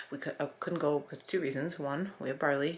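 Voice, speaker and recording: Very deep, low pitch from a woman, with ordinary pitch variation. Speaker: family vlogger, mother of seven. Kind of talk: casual vlog narration. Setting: at home. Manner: whispering.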